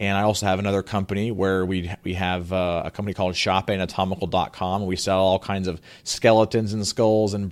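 A man speaks fairly quickly with an American accent. His fairly low voice is monotone and flat. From US South. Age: 30s. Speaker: real estate investor. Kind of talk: interview.

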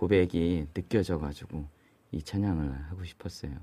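A man speaks at a moderate pace with a very deep, low pitch. His pitch variation is ordinary. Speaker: pastor who repairs guitars. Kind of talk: interview. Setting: studio.

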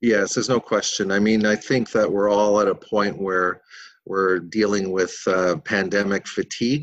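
A fairly low male voice with a Canadian accent, at a moderate pace, fairly even in intonation and very even in loudness, over a quiet background. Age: 60s. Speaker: peer support specialist. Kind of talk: interview. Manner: halting, many fillers.

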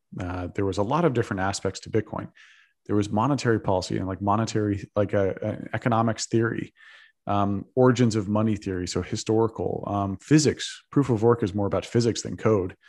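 A man uses a normal speaking voice, fairly low in pitch, with fairly even intonation. He talks at a fairly quick pace against a quiet background. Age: 30s. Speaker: Bitcoin investor and advocate. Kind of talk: interview.

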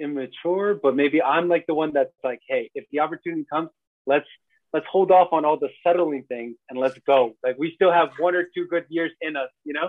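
With a fairly high pitch and ordinary pitch variation, a man speaks at a fairly quick pace. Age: 30s. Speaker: strength and movement coach. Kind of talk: casual chat.

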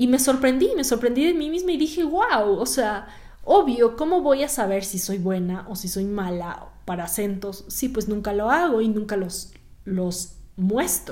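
Amid audible room echo, a woman speaks in an animated tone at a fairly high pitch and a fairly slow pace, with very wide pitch swings. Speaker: actress and podcast host. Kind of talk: solo podcast monologue. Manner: conversational, animated.

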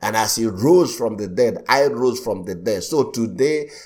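The voice has vocal fry and lively intonation. It moves at a moderate pace. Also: man. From Nigeria. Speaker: pastor. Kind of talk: sermon.

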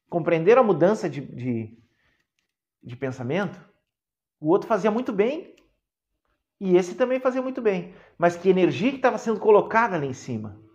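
The voice has a warm tone and very wide pitch swings, moving at a moderate pace with long, frequent pauses and big swings in loudness. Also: man, high pitch for a man. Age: 40s. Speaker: therapist and mentor, podcast host. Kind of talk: live-streamed talk to viewers. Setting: online live stream. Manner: warm, conversational.

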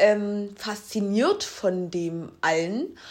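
Here a woman talks. The variation in her pitch is ordinary. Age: 20s. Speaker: podcast co-host. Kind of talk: casual chat.

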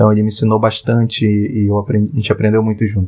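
A man with an Amazonas accent. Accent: Amazonas Brazilian Portuguese. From Parintins, Amazonas, Brazil. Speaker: product designer. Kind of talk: interview.

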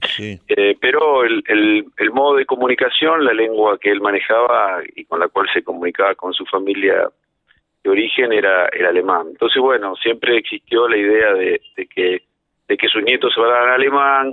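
A man with a Rioplatense accent speaks at a moderate pace. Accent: Argentine Rioplatense Spanish. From Argentina, Mar del Plata. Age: 50s. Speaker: lawyer and federal prosecutor. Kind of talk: radio interview. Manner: halting, with many repetitions and fillers.

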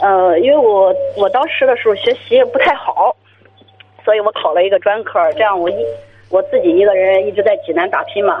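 Keeping very even loudness, a woman talks at a fairly quick pace over noticeable background noise. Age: 30s. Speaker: sales manager. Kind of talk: phone-in call. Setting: phone call.

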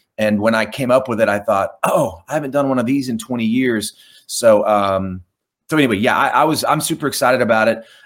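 In a very clean recording with a silent background, a man with an American accent talks at a fairly quick pace. His pitch is medium, with ordinary pitch variation. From Oklahoma. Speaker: rock singer and songwriter. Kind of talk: interview. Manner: halting, repeats words.

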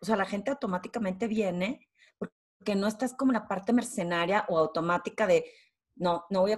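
Here a woman with a northern Mexican accent talks at a moderate pace and a medium pitch. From Torreón, northern Mexico. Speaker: executive presence and leadership consultant. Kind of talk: interview.

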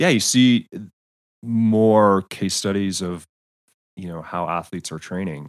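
A man with an American accent, fairly low in pitch, at a fairly slow pace, with ordinary pitch variation, long, frequent pauses and big swings in loudness. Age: 50s. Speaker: former pro cyclist and coach. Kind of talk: casual interview chat. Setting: remote call.

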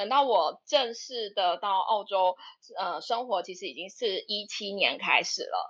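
Speaking at a fairly slow pace, a woman uses a plain, everyday voice at a medium pitch with lively intonation. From Taiwan, Taipei. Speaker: dentist. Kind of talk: casual chat. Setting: online audio room.

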